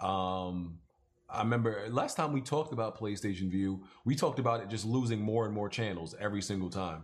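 A man talks in an ordinary speaking voice at a fairly quick pace, with ordinary pitch variation. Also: fairly low pitch for a man. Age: 20s. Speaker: gaming podcast host. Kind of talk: casual chat.

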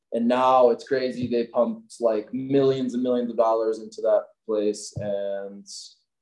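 Here is a man with an American accent and a normal speaking voice at medium pitch. His intonation is fairly even and his pace fairly slow. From US Midwest, Milwaukee area, Wisconsin. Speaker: ski company owner. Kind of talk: casual interview chat.

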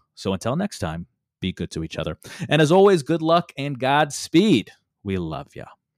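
An animated man speaks at a moderate pace in a fairly high voice. His pitch swings very widely and his loudness swings a lot. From US Midwest. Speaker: podcast host. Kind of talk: casual chat.

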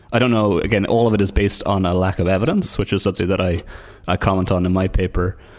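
On a very clean recording with a silent background, a man speaks at a fairly low pitch and a fairly quick pace. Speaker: podcast host. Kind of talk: interview.

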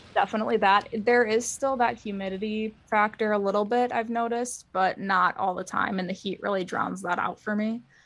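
A woman with a fairly high pitch talks at a fairly quick pace in a monotone, flat delivery with hardly any pauses. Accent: American. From Wisconsin, US Midwest. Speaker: plant collector. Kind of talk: casual chat. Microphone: laptop microphone.

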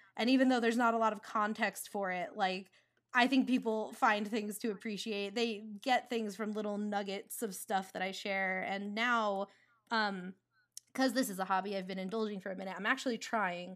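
A woman with a normal speaking voice, medium pitch, fairly even intonation, a moderate pace and an American accent. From US Northeast, rural New Jersey. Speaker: storyboard artist and director. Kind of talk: casual interview chat.

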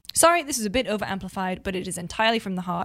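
The voice is animated, with lively intonation and a very fast pace. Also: woman. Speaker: video game journalist. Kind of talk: casual chat.

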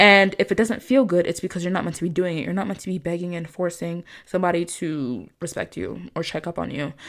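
A woman's fairly low, vocal-fry voice at a very fast pace with hardly any pauses, in a very clean recording with a silent background. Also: ordinary pitch variation. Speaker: manifestation coach and podcast host. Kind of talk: solo podcast monologue. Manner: calm.

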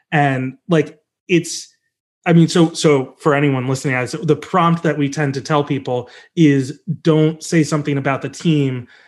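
Speaking at a fairly slow pace, a man with a plain, everyday voice sits fairly high in pitch and keeps his intonation fairly even. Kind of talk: casual interview chat. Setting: video call. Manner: rambling, self-correcting.

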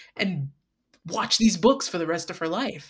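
A woman with an American accent speaks at a fairly low pitch in a very clean recording with a silent background. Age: 20s. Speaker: artist and tabletop roleplay cast member. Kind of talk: casual chat.

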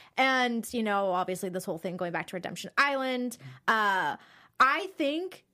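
On a very clean recording with a silent background, a woman with a fairly high, bright, sharp voice speaks at a moderate pace with very wide pitch swings. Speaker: podcast host. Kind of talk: casual chat. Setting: studio. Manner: excitable.

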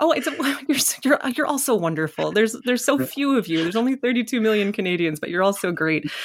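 The voice rises and falls in very wide pitch swings, with hardly any pauses. Background noise is noticeable. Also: woman, fairly high pitch for a woman. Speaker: podcast host. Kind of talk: interview conversation.

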